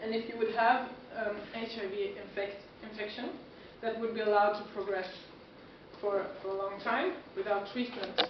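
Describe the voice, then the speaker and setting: A woman speaks at a moderate pace in a fairly high pitch with fairly even intonation and long, frequent pauses, amid audible room echo and noticeable background noise. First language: Swedish. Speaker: student health worker. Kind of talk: lecture.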